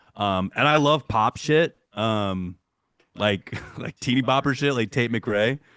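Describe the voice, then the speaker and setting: Speaking at a very slow pace with an American accent, a man with a medium-pitched voice and ordinary pitch variation is heard in a dry, close recording with no echo against a quiet background. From Michigan. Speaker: metal musician. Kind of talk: podcast interview. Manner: casual, filler-heavy.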